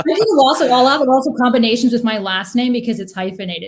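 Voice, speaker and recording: A very fast talker with a somewhat breathy voice and ordinary pitch variation. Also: woman. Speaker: podcast guest. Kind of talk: casual interview conversation.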